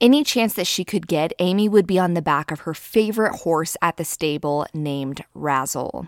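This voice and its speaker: With hardly any pauses, a woman speaks at a moderate pace in a fairly low pitch, on a very clean recording with a silent background. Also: dry, close sound with no echo. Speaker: true crime podcast host. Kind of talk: scripted narration.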